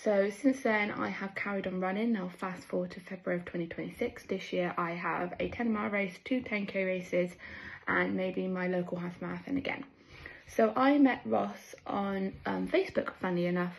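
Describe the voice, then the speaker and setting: A woman speaks with a West Country accent at a medium pitch and moderate pace. Her voice is somewhat breathy, with lively intonation. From southwest England. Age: 20s. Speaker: amateur runner, running group member. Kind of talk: personal testimony.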